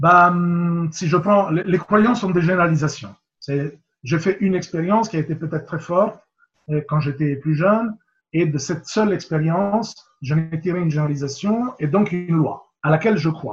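A man's voice sits high in pitch, moving at a moderate pace with ordinary pitch variation. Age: 50s. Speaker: rugby coach and mental coach. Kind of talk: interview. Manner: hesitant, with fillers and repetitions.

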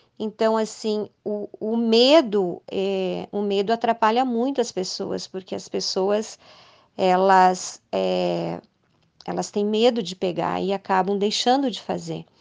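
A woman talks very slowly, with only a quiet background behind her. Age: 50s. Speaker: ultramarathon runner and cancer survivor. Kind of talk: interview testimony. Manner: halting, with many hesitations.

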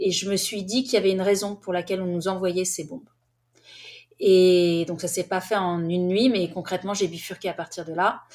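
Heard in a very clean recording with a silent background, a woman with a plain, everyday voice speaks at a medium pitch and a moderate pace with fairly even intonation. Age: 40s. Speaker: author and documentary filmmaker. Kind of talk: interview.

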